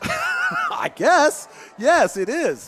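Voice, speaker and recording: A man with a Midwestern US accent and lively intonation. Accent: US Midwest. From Kansas, Lawrence. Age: 50s. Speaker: radio sports commentator. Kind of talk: live radio sports commentary chat. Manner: halting, many restarts.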